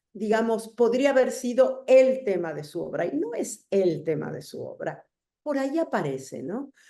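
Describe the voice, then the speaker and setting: A woman's dark, mellow, fairly high voice at a fairly slow pace, with very wide pitch swings, vocal fry and big swings in loudness. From Argentina. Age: 60s. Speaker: writer and essayist. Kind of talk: interview conversation.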